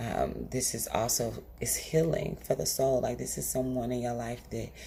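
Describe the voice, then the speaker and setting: A woman speaks in a soft-spoken way. Audible room echo surrounds her voice. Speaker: tarot reader. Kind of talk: tarot reading monologue. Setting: at home. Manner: quiet.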